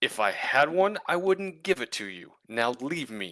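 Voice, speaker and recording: Putting on a character voice, a man speaks at a moderate pace with very wide pitch swings. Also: fairly high pitch for a man. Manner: smug, dismissive.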